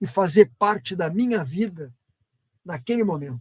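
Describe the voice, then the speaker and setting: Pitch rises and falls across a very wide range. The delivery keeps a moderate pace. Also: man. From southern Brazil, Porto Alegre. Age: 70s. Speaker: professor, founding member of a UFO research group. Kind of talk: casual chat, personal recollection. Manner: halting, with self-corrections.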